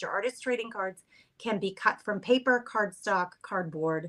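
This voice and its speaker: A woman with a normal speaking voice and an American accent, lively intonation and a moderate pace. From Boston. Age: 50s. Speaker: craft content creator. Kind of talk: casual chat. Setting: live stream.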